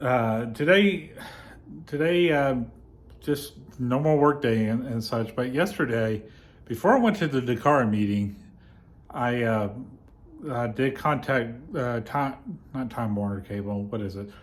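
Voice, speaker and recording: Fairly slow speech with long, frequent pauses and ordinary pitch variation, in audible room echo. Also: man, medium pitch for a man. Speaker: vlogger. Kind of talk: casual chat. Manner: halting; over-enunciating.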